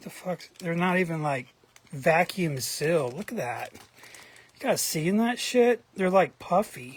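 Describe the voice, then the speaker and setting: A lively, fairly slow voice with an American accent, big swings in loudness, and noticeable background noise. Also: man, high pitch for a man. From US South, Atlanta, Georgia. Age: 40s. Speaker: trading card collector vlogger. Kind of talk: casual monologue vlog. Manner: hesitant, many fillers.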